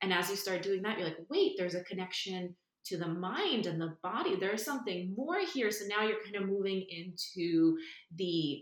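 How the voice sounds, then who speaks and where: A woman speaks in a plain, everyday voice at a moderate pace, her medium pitch showing ordinary variation. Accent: American. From New York. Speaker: nervous system and breathwork coach. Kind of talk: casual interview.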